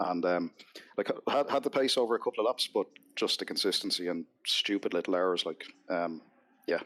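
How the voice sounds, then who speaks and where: A man in a Dublin accent, long, frequent pauses throughout, in a dry, close sound with no echo. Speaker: sim racing driver. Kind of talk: casual chat.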